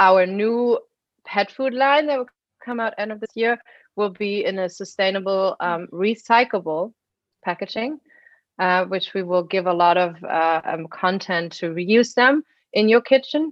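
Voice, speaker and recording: A woman's medium-pitched voice with a German accent, lively intonation and a fairly slow pace. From Germany. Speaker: biotech engineer and pet supplement founder. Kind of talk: interview.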